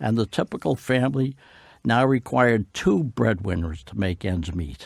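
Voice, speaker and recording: The speaker has lively intonation, a fairly slow pace and vocal fry, captured on a very clean recording with a silent background and a dry, close sound with no echo. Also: man. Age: 80s+. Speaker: war veteran. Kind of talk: testimony.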